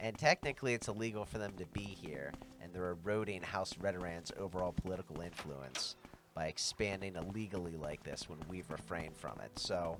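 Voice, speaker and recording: A man talks with lively intonation at a very deep, low pitch. Music plays in the background. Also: fairly quick pace. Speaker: game streamer. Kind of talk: casual gameplay commentary.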